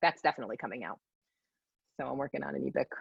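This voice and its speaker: A woman with a New York accent, in a dry, close sound with no echo. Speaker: psychic medium. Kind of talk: casual interview chat. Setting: live session with audience. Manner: animated.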